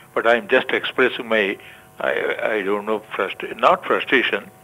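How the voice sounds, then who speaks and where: The pace is moderate. Noticeable background noise runs through the clip. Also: man. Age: 80s+. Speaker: caller. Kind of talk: phone-in complaint. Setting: phone call. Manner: halting.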